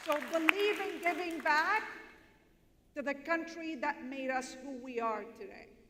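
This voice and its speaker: With crowd noise in the background, a woman uses a raised, projected voice at a high pitch, speaking at a fairly slow pace with lively intonation and big swings in loudness. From Lebanon. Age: 40s. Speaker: panelist. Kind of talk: panel discussion. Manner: passionate.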